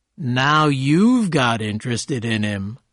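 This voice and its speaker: This put-on character voice moves at a fairly slow pace with lively intonation. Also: man, medium pitch for a man. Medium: read story. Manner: casual, breezy.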